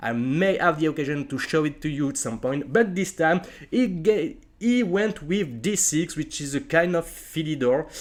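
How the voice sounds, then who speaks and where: Speaking with a non-native accent, a man with a fairly high pitch comes through in a very clean recording with a silent background. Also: lively intonation, moderate pace. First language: not English. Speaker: chess streamer. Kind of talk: live game commentary. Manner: hesitant, many fillers.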